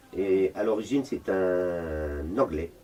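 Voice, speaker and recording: A man's very deep, low-pitched voice. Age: 60s. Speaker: retired full-time volunteer at a homeless mission. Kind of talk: interview. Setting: homeless shelter.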